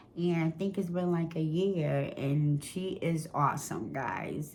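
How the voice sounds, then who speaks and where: A woman talks at a very slow pace. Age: 60s. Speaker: vlogger in addiction recovery. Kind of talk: casual chat. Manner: animated.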